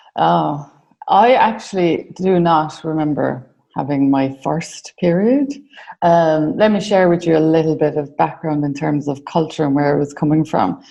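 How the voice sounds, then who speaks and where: In an Irish accent, a woman talks at a moderate pace with a very deep, low pitch and ordinary pitch variation. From Ireland. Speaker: mentoring business founder. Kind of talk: interview. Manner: hesitant, many fillers.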